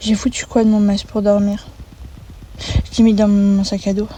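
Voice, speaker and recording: A woman's voice at a fairly slow pace, with noticeable background noise. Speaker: vlogger. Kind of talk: casual vlog talk. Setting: in a car.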